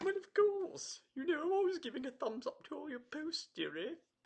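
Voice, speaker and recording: A high-pitched, put-on character voice in an RP accent moves at a moderate pace. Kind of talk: proper, hospitable.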